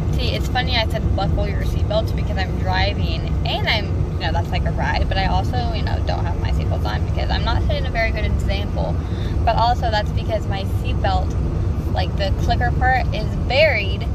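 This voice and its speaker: A woman speaks at a moderate pace, with long, frequent pauses. Loud background noise fills the recording, and the sound is dry with no echo. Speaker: vlogger. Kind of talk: casual vlog chat. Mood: excited, chatty. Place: car. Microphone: phone near.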